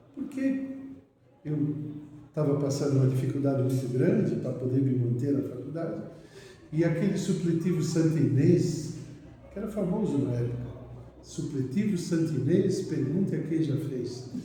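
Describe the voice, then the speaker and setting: A fairly high-pitched man with long, frequent pauses, audible room echo and noticeable background noise. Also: ordinary pitch variation, moderate pace. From Brazil, São Paulo (Mooca). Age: 70s. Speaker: physician. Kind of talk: interview.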